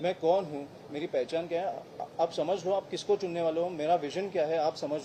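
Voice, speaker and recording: A man speaks at a moderate pace with a dark, mellow tone and a high pitch. His intonation stays monotone and flat. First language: Marathi (speaking Hindi). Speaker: politician, election candidate. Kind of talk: press conference Q&A. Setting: press conference with reporters. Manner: halting, with filler sounds.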